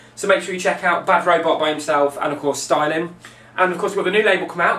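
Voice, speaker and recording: An enthusiastic, high-pitched man with an English accent speaks at a very fast pace. Audible room echo and noticeable background noise surround his voice. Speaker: DJ and record label promoter. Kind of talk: video update, promotional monologue.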